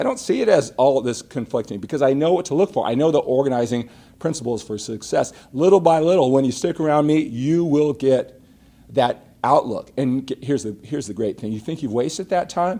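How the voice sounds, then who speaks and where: Here a man talks at a fairly quick pace with lively intonation. His tone is dark and mellow, and his pitch is fairly high. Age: 50s. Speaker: fitness coach. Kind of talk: live stream talk. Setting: live broadcast. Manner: animated.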